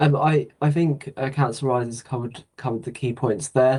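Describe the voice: A man speaks at a moderate pace with a medium pitch. His tone is slightly mellow and his intonation fairly even.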